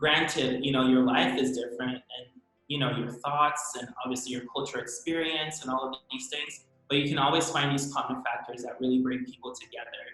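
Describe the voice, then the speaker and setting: With music in the background, a voice in a Californian accent speaks in a monotone, flat intonation. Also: man, medium pitch for a man. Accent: American, Californian. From San Francisco Bay Area, US (immigrant from Brazil). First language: Portuguese. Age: 20s. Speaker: professional ice skater. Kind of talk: casual interview.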